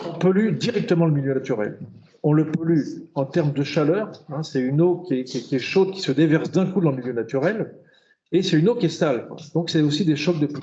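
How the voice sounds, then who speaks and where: At a fairly high pitch, a man speaks with lively intonation and long, frequent pauses. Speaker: urban planner and hydrologist giving a talk. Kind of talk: lecture. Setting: conference hall with audience. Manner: fast; halting, many repetitions and fillers.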